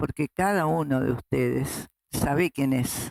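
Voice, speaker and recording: A woman's very deep, low voice at a very slow pace, with ordinary pitch variation and a dry, close sound with no echo. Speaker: human rights activist, founding grandmother of a search association; retired school director. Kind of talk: interview answer.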